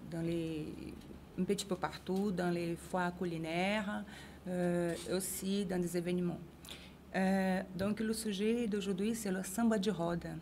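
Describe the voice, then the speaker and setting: A woman with a Brazilian accent speaks at a very slow pace and medium pitch, her dark, mellow tone flat and monotone, her loudness very even, with long, frequent pauses. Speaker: samba choreographer, association vice-president. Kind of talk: interview. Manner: halting, many hesitations.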